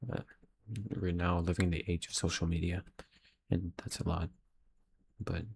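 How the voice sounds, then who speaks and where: A man with a very deep, low, somewhat breathy voice speaks in a flat monotone at a moderate pace. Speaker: aspiring filmmaker vlogger. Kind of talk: casual video diary. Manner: halting.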